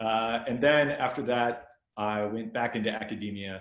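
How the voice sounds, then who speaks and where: Amid audible room echo, a man with an American accent speaks very slowly with ordinary pitch variation. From US, California (Stockton). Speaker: law lecturer. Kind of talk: webinar presentation.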